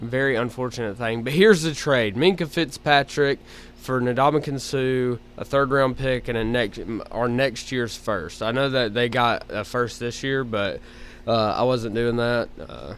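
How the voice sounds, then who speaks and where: Speaking at a fairly slow pace with an Alabama accent, a man uses a medium pitch and ordinary pitch variation. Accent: Southern (Alabama). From Alabama, US South. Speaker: gaming YouTuber. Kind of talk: gameplay commentary. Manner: casual, halting with fillers.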